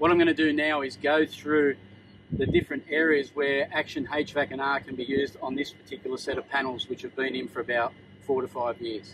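A man speaks at a medium pitch with little pitch movement. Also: fairly quick pace, fairly bright tone.

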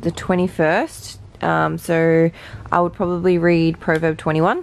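A woman speaks at a fairly slow pace with a fairly low pitch and ordinary pitch variation, in a dry sound with no echo. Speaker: vlogger. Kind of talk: casual vlog chat. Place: home room. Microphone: phone near.

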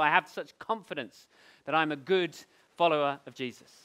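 The tone is bright and sharp. A man is talking over a quiet background. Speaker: pastor. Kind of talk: sermon. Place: hall.

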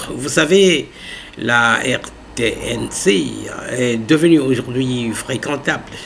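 A man at a very slow pace, with light background noise. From DR Congo. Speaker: YouTube news channel host; political commentator. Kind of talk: casual commentary. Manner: hesitant, filler-heavy. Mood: earnest, persuasive. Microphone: webcam.

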